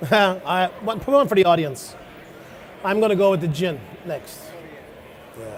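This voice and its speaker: Audible room echo surrounds a man speaking at a moderate pace with long, frequent pauses. His high pitch carries lively intonation. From Ireland. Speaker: chef. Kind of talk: cooking demonstration. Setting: stage with audience.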